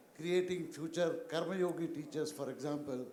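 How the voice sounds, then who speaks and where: The speech moves at a moderate pace with fairly even intonation, and room echo is audible. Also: man. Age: 70s. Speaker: teacher trainer, audience member. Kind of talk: audience comment at panel.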